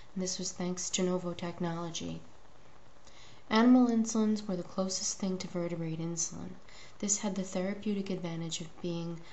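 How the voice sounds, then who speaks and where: A woman speaks quietly and fairly quickly, at a fairly low pitch with fairly even intonation. Audible room echo and noticeable background noise surround her voice. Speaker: video blogger and diabetes advocate. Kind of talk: opinion monologue.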